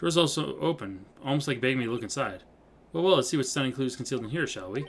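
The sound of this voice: Lively intonation runs through a reading voice that sounds unforced.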